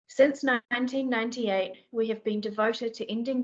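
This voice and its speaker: With a New Zealand accent, a woman speaks at a moderate pace and with fairly even intonation. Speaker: sanctuary bear team manager. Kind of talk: presentation in a meeting.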